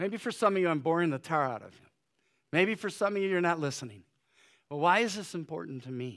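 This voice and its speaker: Lively intonation runs through a man's fairly high voice. The recording is very clean, with a silent background. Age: 60s. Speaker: pastor. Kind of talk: sermon. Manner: hesitant, many fillers.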